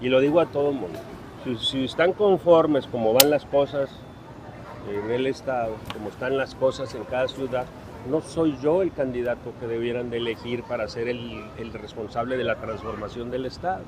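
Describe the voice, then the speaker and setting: At a moderate pace, the pitch moves in an ordinary way while noticeable background noise runs beneath. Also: man, medium pitch for a man. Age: 70s. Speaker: political candidate. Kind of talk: press conference. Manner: animated.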